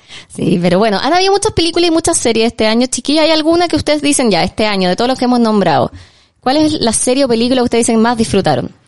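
A woman speaks at a very fast pace and a high pitch, her tone animated. Her pitch swings very widely while her loudness stays very even. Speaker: film podcast host. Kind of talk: casual chat.

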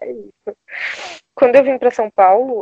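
A woman speaks with a high pitch. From Brazil, Bahia (Salvador). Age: 20s. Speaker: advertising professional. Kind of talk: casual chat. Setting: video call.

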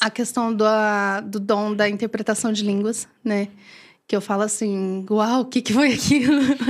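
A woman with an ordinary speaking voice talks at a fairly slow pace, her fairly high pitch held in fairly even intonation. The recording is very clean, with a silent background. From Maranhão, northeastern Brazil. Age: 30s. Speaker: church deaconess. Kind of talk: testimony in interview.

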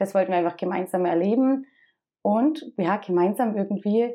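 A woman speaks at a fairly slow pace with a dark, mellow tone. Her pitch is medium, with ordinary variation. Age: 30s. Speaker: dental assistant and church youth worker. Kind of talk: interview testimony. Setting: in person with host.

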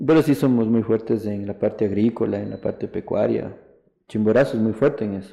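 A man's fairly quick delivery, fairly low in pitch, dark and mellow in tone with vocal fry and ordinary pitch variation. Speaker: businessman and football club president. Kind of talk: interview. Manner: hesitant, many fillers.

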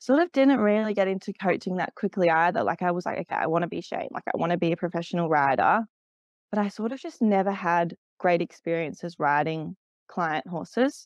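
A woman with an Australian accent, her pitch fairly low, in a dry, close sound with no echo over a quiet background. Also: lively intonation, fairly quick pace. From Australia, Canberra. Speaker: event rider and riding coach. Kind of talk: interview. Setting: remote call.

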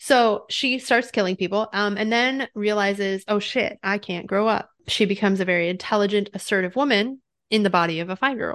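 Against a quiet background, a woman with a plain, everyday voice talks at a fairly quick pace with hardly any pauses. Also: medium pitch for a woman, ordinary pitch variation. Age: 30s. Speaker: podcast co-host. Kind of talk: casual chat.

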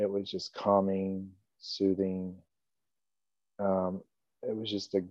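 Over a quiet background, a man talks at a fairly low pitch. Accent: American. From North Carolina and southeast Kansas. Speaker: church member. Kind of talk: interview, personal testimony. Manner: halting, with many fillers.

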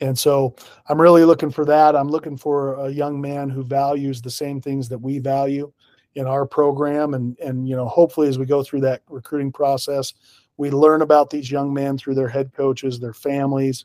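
With an American accent, a man speaks at a moderate pace in a fairly high pitch, his tone dark and mellow, his intonation flat and monotone, and the sound dry and close with no echo. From Idaho, Pocatello. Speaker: college football head coach. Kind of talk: interview.

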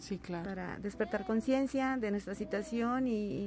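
Her voice is a plain, everyday voice, pitched fairly high for a woman, with ordinary pitch variation and a moderate pace. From Huasteca region, San Luis Potosí, Mexico. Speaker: singer-songwriter and retired teacher. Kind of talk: radio interview. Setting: radio studio.

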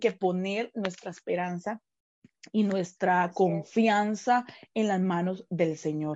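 At a very slow pace, a woman talks in a medium pitch with a Costa Rican accent. Her pitch variation is ordinary. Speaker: pastor. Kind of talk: casual chat.

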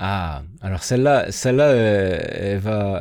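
A man talks fairly slowly, his voice fairly low, its pitch moving in a normal way. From southwest France (Béarn). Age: 30s. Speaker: former teacher turned video producer. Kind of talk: interview. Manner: hesitant, many fillers and repetitions.

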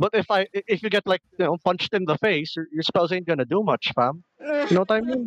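A man with a Filipino accent speaks at a fairly quick pace in a high voice, with lively intonation, hardly any pauses, and a dry, close sound with no echo. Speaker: guest. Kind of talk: casual chat, nerdy banter.

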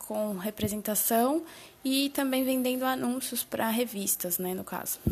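A woman speaks very slowly in a fairly high pitch. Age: 20s. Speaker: digital marketer. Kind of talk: solo podcast monologue. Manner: casual, with many filler words.

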